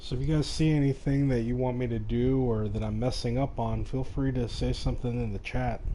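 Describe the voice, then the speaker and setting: Quiet and at a fairly quick pace, a man talks with hardly any pauses amid audible room echo. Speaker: video game streamer. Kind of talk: live gameplay commentary. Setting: live stream. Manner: casual.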